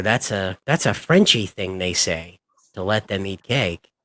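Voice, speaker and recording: Speaking in a plain, everyday voice with an American accent, a man keeps a moderate pace and ordinary pitch variation, the sound dry and close with no echo. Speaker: streamer. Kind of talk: casual chat.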